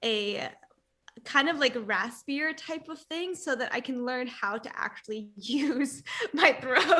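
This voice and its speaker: A woman's high, raised, projected voice with lively intonation at a fairly slow pace. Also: big swings in loudness. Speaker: youtuber, language learner. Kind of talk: casual chat.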